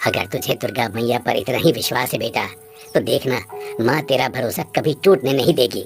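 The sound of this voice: In a cartoonish character voice, a man speaks at a moderate pace and medium pitch with ordinary pitch variation, faint music playing in the background.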